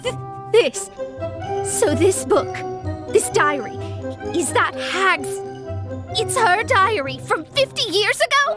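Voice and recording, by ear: A woman uses a cartoonish character voice at an extremely high pitch, with a bright, sharp tone and big pitch swings. She goes at a slow pace with long, frequent pauses as faint music plays in the background.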